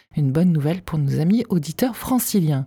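A woman speaks with a dark, mellow tone that is somewhat breathy. The sound is dry and close, with no echo. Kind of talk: radio dj patter: back-announcing the track, plugging the album, teasing tomorrow. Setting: studio. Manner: brisk, polished, friendly radio-announcer delivery.

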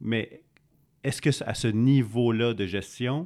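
A man talks in a Quebec accent. His pitch varies in an ordinary way. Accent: Québécois French. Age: 40s. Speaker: podcast co-host, entrepreneur. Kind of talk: interview.

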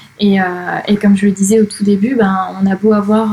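A woman's medium-pitched voice, monotone and flat, at a fairly quick pace over noticeable background noise. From France, Charente-Maritime. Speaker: freelance digital strategy trainer and network founder. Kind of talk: casual interview. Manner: hesitant, many fillers.

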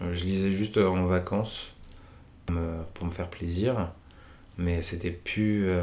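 Very slowly and with long, frequent pauses, a man speaks in a very deep, low voice with monotone, flat intonation. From Paris region, France. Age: 20s. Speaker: book reader. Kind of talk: casual chat. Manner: hesitant, many fillers.

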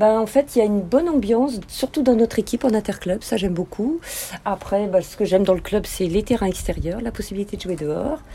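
Speaking at a fairly quick pace with lively intonation, a woman with a fairly high pitch is heard against noticeable background noise. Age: 50s. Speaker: amateur tennis player. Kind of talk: casual interview. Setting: outdoors. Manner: halting.

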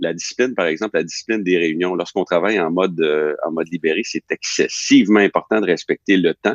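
Very fast and fairly even in intonation, this man's voice sits very deep and low. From Quebec. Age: 50s. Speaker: company president. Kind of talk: interview. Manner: halting, many repetitions.

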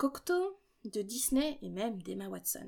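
A woman with a fairly high pitch, speaking at a fairly slow pace. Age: 20s. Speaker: podcast host and doctoral student in literature. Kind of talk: solo podcast monologue. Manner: casual, light tone.

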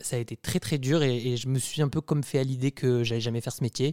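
A man's dark, mellow, medium-pitched voice at a fairly quick pace, dry and close with no echo, in a very clean recording with a silent background. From southern France. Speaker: drag costume designer. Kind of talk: interview.

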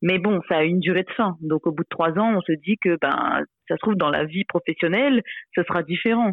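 Her pace is moderate. The woman's pitch rises and falls in an ordinary way. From Réunion. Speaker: former chemist in career change. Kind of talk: interview testimony. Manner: halting, many hesitations.

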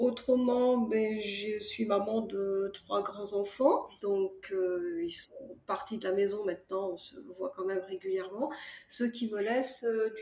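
At a very slow pace, a woman speaks in a dark, mellow tone at medium pitch with ordinary pitch variation. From France, Charente (Cognac). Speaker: author. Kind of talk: casual interview. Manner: halting, many fillers and repetitions.

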